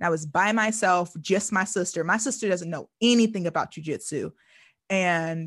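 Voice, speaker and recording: A woman's somewhat breathy voice at a fairly quick pace against a quiet background. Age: 30s. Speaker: podcast host. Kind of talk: casual chat.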